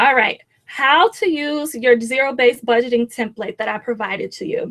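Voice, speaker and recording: A woman's high-pitched voice at a moderate pace, with ordinary pitch variation and a dry, close sound free of echo. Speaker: personal finance coach. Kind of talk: webinar tutorial. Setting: live webinar.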